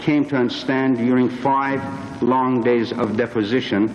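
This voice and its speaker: In an Iranian accent, a man talks at a fairly slow pace with monotone, flat intonation. Noticeable background noise runs underneath. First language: Persian. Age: 50s. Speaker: witness at a congressional hearing. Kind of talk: testimony. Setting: hearing room. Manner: formal. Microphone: too far from the microphone.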